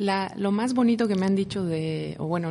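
Speaking at a moderate pace with a Mexican accent, a woman has a dark, mellow, somewhat breathy tone and ordinary pitch variation. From Mexico City. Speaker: visual artist and writer. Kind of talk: radio interview.

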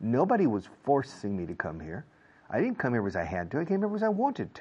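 A man with an American accent talks at a very fast pace, his medium pitch swinging very widely and dipping into vocal fry. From United States. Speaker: English teacher. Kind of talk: lecture.

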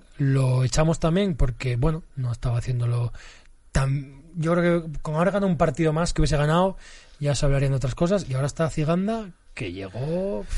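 The somewhat breathy voice moves at a fairly quick pace with lively intonation. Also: man, fairly high pitch for a man. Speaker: football fan guest, former social educator. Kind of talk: casual chat.

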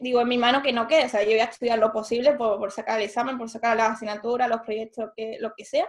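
This is a woman speaking. Her pitch is high. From Spain, Seville. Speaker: aeronautical engineer turned entrepreneur. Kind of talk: interview.

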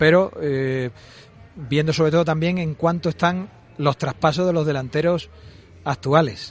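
A man with a fairly high pitch uses an ordinary speaking voice, moving at a moderate pace with ordinary pitch variation. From Valladolid, Spain. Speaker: football sporting director. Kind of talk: radio interview. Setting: live broadcast from a restaurant.

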